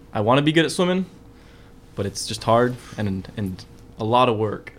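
Here a man speaks at a moderate pace. He has a General American accent. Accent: general American, developed over years. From UK, then Uzbekistan and Brazil. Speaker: college student. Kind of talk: casual chat.

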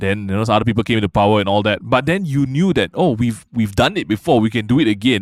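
A man speaks at a very fast pace with lively intonation. His loudness stays very even. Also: medium pitch for a man, hardly any pauses. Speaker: comedian. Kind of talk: casual chat. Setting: studio.

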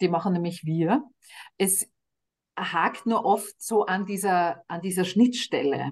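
A woman's medium-pitched voice proceeds very slowly, with ordinary pitch variation. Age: 50s. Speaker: cancer charity director. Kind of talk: interview.

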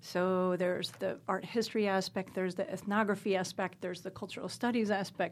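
A woman with a normal speaking voice and medium pitch, talking at a fairly quick pace with fairly even intonation and hardly any pauses. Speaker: scholar of North African art. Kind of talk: interview conversation.

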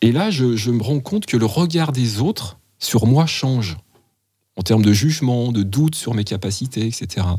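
A man speaks fairly slowly in a medium-pitched, somewhat breathy voice with a dark, mellow tone and lively intonation. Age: 50s. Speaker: midwife. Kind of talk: interview conversation.

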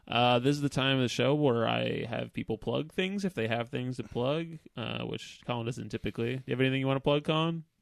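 A normal speaking voice moves at a fairly quick pace with ordinary pitch variation, sounding dry and close with no echo. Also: man, medium pitch for a man. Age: 30s. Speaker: podcast host. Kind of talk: casual chat.

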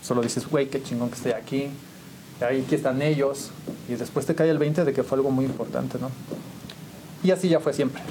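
A man with a fairly high pitch talks at a fairly quick pace with fairly even intonation, yet takes long, frequent pauses. Noticeable background noise can be heard. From Mexico, San Juan del Río, Querétaro. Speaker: musician and photographer. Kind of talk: interview storytelling.

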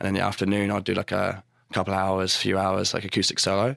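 A man talks with a New Zealand accent. His pitch is fairly low. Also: very clean recording, silent background. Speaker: singer and guitarist. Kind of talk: casual interview chat. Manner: halting, many fillers.

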